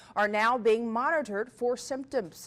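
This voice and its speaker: On a very clean recording with a silent background, a woman speaks in a plain, everyday voice with a fairly high pitch. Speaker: TV news anchor and reporter. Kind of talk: TV news anchor delivery.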